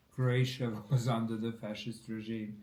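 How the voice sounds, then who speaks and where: Audible room echo surrounds a man's dark, mellow, somewhat breathy voice. He speaks at a fairly slow pace with monotone, flat intonation. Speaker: political commentator. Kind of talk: casual chat over a meal.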